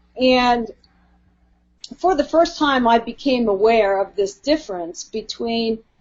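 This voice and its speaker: In an ordinary speaking voice, a woman with an American accent speaks at a fairly high pitch. Her intonation is lively and her pace fairly slow. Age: 60s. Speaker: author. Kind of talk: interview.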